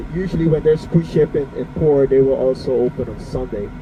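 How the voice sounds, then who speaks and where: A man speaks with a Curaçao accent and ordinary pitch variation. Noticeable background noise runs under his voice. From Bonaire. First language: Papiamento. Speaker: tour guide. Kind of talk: guided tour commentary. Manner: halting, many fillers.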